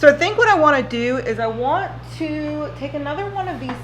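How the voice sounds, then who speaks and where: A woman speaks with audible room echo and noticeable background noise around her. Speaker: beauty vlogger. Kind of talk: casual chat. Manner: slow.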